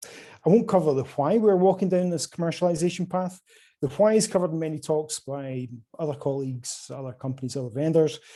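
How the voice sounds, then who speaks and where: A man speaks at a fairly quick pace with a Scottish accent. His voice is fairly high, dark and mellow in tone. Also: ordinary pitch variation. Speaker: quantum hardware sales representative. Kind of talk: conference presentation.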